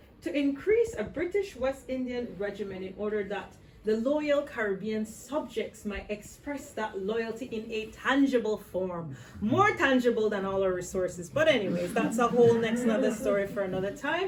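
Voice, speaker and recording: Noticeable background noise sits under this voice, which moves at a moderate pace with hardly any pauses. The intonation is lively. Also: woman, fairly high pitch for a woman. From Belize. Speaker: visual artist. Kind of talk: artist talk.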